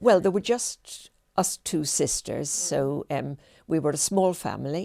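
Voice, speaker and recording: In a Dublin accent, a woman speaks at a fairly slow pace and a fairly low pitch, with a dark, mellow tone, ordinary pitch variation, and a dry, close sound with no echo. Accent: Dublin Irish. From Ireland, Dublin (Rathfarnham). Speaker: retired teacher and heritage guide. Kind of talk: oral history interview. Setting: filmed interview.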